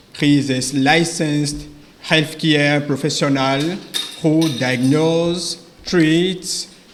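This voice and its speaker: Very slow speech with a French accent, fairly even intonation, and audible room echo. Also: man. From Ivory Coast / Benin. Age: 20s. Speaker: medical doctor, English learner. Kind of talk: prepared oral presentation for exam jury. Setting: graduation ceremony before examining board. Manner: halting, with frequent hesitations.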